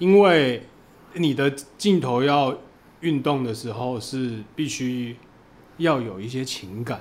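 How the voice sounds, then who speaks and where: A man speaks with a Taiwanese accent at a very slow pace and medium pitch. His ordinary pitch variation is broken by long, frequent pauses. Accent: Taiwanese Mandarin. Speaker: adult film director. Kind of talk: casual chat.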